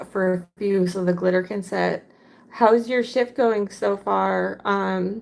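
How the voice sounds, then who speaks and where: Speaking fairly slowly in an ordinary speaking voice, a woman keeps her medium-pitched intonation fairly even. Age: 40s. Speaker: craft livestreamer. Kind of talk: casual livestream chat while crafting. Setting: live stream. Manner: casual, with fillers and self-repairs.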